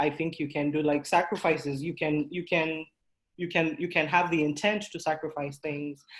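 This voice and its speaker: A woman with a non-native accent and a very deep, low pitch, speaking in a flat monotone at a moderate pace over a quiet background. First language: not English. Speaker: workshop presenter, coding student and small business owner. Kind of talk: online workshop talk.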